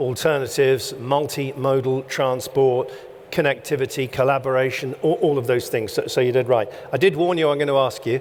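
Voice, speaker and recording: Against noticeable background noise, a man talks at a fairly quick pace with very even loudness and fairly even intonation. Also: medium pitch for a man. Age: 60s. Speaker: event host. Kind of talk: on-stage interview. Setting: stage with audience.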